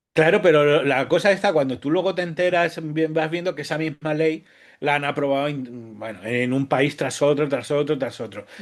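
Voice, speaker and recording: A man at a fairly high pitch, moderate in pace, with ordinary pitch variation. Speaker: writer. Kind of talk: interview. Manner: halting, many false starts.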